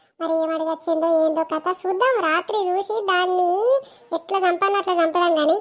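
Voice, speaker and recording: A female-sounding voice puts on a cartoonish character voice at extremely high pitch. The pace is fairly slow. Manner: chatty, conspiratorial.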